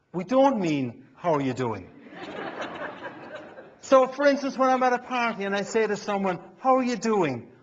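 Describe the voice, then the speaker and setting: With an Irish accent, a man speaks at a moderate pace in a high pitch, his pitch swinging very widely, with long, frequent pauses and noticeable background noise. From Ireland. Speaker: keynote speaker and business humorist. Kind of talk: comedic stage monologue.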